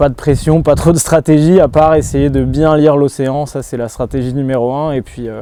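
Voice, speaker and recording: This man's voice sits at a medium pitch, with noticeable noise in the background. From Brittany, France. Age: 20s. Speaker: athlete. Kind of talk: interview. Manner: hesitant.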